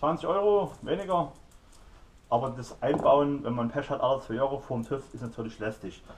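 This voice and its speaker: The talking proceeds at a moderate pace while noticeable noise fills the background. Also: man. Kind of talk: tutorial. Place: garage.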